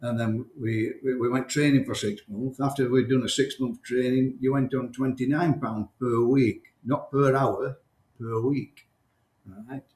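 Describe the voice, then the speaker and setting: Somewhat breathy speech moves at a fairly slow pace in a monotone, flat intonation. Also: man, medium pitch for a man. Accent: Yorkshire. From South Yorkshire, near Barnsley/Sheffield. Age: 60s. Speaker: champion game shooter, former miner. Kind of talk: interview. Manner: halting, repetitive.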